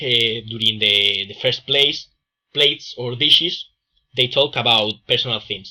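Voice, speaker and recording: The speaker talks at a very slow pace in a strong Andalusian accent. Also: man. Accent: strong Andalusian Spanish accent, drops S. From Spain, Andalusia. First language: Spanish. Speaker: student presenter. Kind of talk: class presentation. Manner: halting, many fillers.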